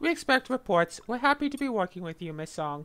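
A put-on, robotic character voice, fairly high in pitch, with very wide pitch swings and a fairly quick pace. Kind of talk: formal corporate protocol speech. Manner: stiff, robotic, formal.

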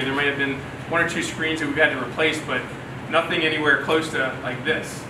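A man speaking at a very fast pace over noticeable background noise. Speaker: company host presenting workshop. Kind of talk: workshop talk to audience. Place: bar.

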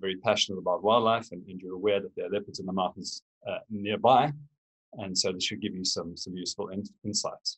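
A man speaks at a very fast pace. His loudness swings widely. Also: quiet background. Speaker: guest. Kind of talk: lecture. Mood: warm, welcoming. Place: home room. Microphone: webcam.

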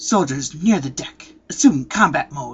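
The speaker uses a put-on character voice at a low-to-middle pitch. The pace is moderate.

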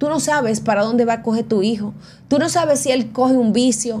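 Her voice sits fairly high with ordinary pitch variation. A woman is speaking at a fairly quick pace. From Venezuela. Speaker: entertainment news show host. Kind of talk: casual chat. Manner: animated. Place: studio. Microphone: studio mic.

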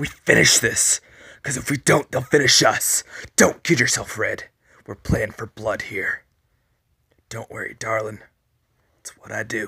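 A man speaks in a raspy, put-on character voice at medium pitch and a moderate pace, with long, frequent pauses. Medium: audio drama. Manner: gruff, blunt.

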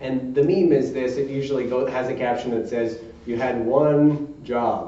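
There is audible room echo as a man speaks with fairly even intonation. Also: moderate pace. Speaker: Baptist preacher. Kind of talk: sermon preaching to a congregation. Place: church. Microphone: podium.

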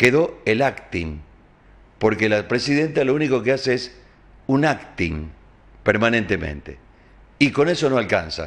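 Vocal fry at a fairly slow pace. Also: man. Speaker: TV news host. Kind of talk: news commentary show. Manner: animated.

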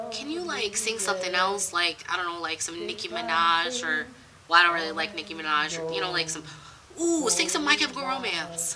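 A woman talks at a fairly quick pace amid noticeable background noise. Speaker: reaction streamer. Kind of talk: casual reaction commentary. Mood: spooked, joking. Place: home room.

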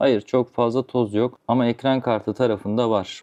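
Medium-pitched male voice, dark and mellow, at a moderate pace, with a quiet background and a dry, close sound with no echo. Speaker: computer repair technician. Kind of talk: tutorial; casual rant.

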